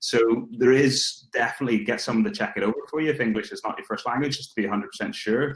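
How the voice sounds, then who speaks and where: The man rattles through his words at a very fast pace. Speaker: recruitment tech speaker. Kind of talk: webinar Q&A.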